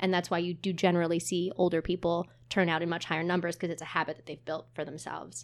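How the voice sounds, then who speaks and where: A woman with an American accent talks very fast with hardly any pauses, her intonation monotone and flat but her loudness swinging widely, on a very clean recording with a silent background. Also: fairly low pitch for a woman. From New Jersey (Montclair). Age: 20s. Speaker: theater marketing manager. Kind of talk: casual chat.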